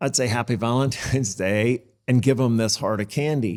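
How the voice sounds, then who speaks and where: This is an ordinary speaking voice from a man at medium pitch. He talks at a moderate pace with ordinary pitch variation. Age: 60s. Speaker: financial services firm founder. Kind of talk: interview.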